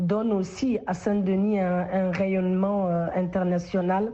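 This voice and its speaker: Noticeable background noise fills the recording. Through it, a woman speaks at a medium pitch. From Guinea. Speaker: social entrepreneur and politician. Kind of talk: radio interview. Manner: hesitant with frequent fillers.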